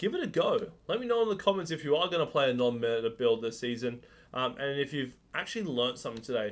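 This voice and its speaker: A man talks at a very fast pace in an Australian accent. His fairly high voice makes very wide pitch swings. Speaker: gaming streamer. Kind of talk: tutorial. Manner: casual with fillers.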